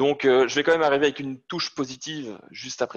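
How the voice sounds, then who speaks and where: A man talks at a fairly quick pace. He speaks with a Belgian accent. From Belgium. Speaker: sales manager presenting to students. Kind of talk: technical lecture. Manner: hesitant, many fillers.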